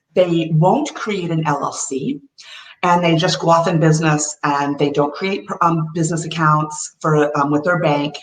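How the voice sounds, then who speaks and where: A woman with an American accent, very deep and low in pitch, at a fairly slow pace with fairly even intonation. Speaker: tax and cash strategist. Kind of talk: webinar presentation.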